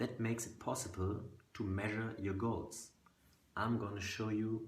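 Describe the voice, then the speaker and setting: With a German accent, a man speaks in a fairly low, somewhat breathy voice. There is audible room echo. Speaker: fitness coach. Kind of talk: sales pitch.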